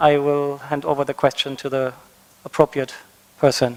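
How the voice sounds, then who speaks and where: A man talks at a fairly slow pace in a German accent. Noticeable background noise runs underneath. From Germany. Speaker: conference facilitator. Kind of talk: panel moderation. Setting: conference stage with audience.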